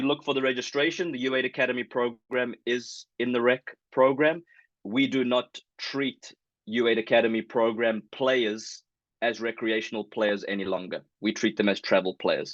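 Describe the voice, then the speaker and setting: Spoken with a South African accent, the voice has a dry, close sound with no echo and a quiet background. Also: man. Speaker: youth soccer club director. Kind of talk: information meeting presentation. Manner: hesitant, many fillers.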